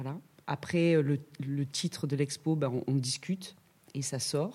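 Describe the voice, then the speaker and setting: On a very clean recording with a silent background, a woman speaks with a very deep, low pitch, a dark, mellow tone and ordinary pitch variation. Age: 50s. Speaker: ceramicist. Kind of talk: casual chat.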